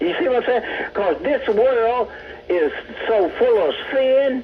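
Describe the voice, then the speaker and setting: With a Southern US accent, a man talks at a very slow pace over noticeable background noise. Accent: Southern American. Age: 80s+. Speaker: caller. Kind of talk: phone-in rant.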